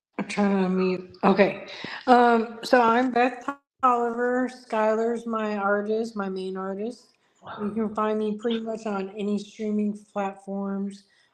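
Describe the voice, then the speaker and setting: Delivery is fairly slow. The intonation stays monotone and flat. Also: woman, fairly high pitch for a woman. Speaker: independent music artist and online show host. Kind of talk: casual chat. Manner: halting, with fillers.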